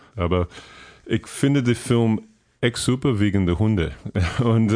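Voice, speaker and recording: In an English accent, a man speaks with a fairly low pitch and ordinary pitch variation. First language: English (speaking German). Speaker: podcast listener and guest. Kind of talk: casual chat. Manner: halting.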